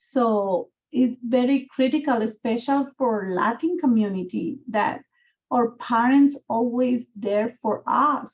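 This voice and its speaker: A woman with a Guatemalan accent, high in pitch with ordinary pitch variation, at a very slow pace and very even loudness. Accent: Guatemalan Spanish accent, noticeable. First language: Spanish. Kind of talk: video call community conversation. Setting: video call.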